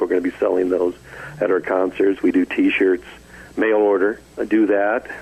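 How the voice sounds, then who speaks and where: Fairly brisk speech from a man in an American accent, noticeable noise in the background. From Southern California (Glendora). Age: 70s. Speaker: retired rock guitarist. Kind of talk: interview.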